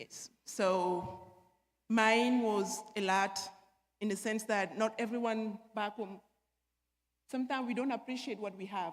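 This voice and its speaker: Speaking fairly slowly with long, frequent pauses, a woman with an African accent uses a fairly high pitch and fairly even intonation. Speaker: panelist, former basketball player. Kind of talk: panel discussion, personal testimony.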